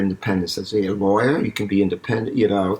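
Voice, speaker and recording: Mumbling at a fairly quick pace, a man speaks at a fairly low pitch with a New York accent. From New York City, East Harlem. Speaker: eye surgeon. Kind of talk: interview. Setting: home, not usual studio. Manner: halting.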